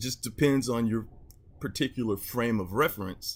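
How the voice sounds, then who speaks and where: This man has a medium pitch with ordinary pitch variation. His voice is somewhat breathy. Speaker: YouTuber commentator. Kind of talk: casual vlog monologue. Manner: slow; halting, many fillers.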